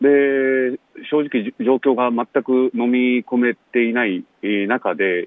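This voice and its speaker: A man at a medium pitch talks very slowly, his pitch varying in an ordinary way. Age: 30s. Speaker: son of a death-row inmate, author. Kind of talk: interview. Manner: halting, many fillers.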